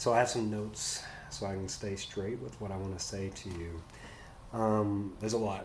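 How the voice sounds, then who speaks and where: Soft-spoken and fairly low-pitched, a man talks at a moderate pace with fairly even intonation in audible room echo. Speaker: nonprofit executive. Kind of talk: farewell message. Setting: office.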